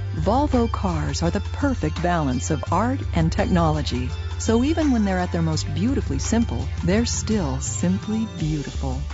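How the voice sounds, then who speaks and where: A woman with a very deep, low pitch and ordinary pitch variation, at a moderate pace with very even loudness and hardly any pauses, over music in the background. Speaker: voice actor. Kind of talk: TV commercial read.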